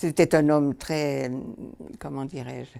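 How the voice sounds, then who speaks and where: A woman's dark, mellow tone at a fairly slow pace, in a very clean recording with a silent background. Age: 80s+. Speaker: nun. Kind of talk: interview answer.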